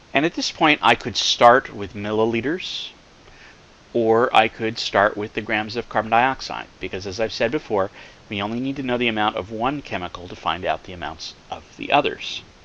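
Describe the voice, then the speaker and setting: Big swings in loudness mark a man's medium-pitched voice, which has ordinary pitch variation. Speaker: chemistry professor. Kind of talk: lecture. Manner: slow, deliberate.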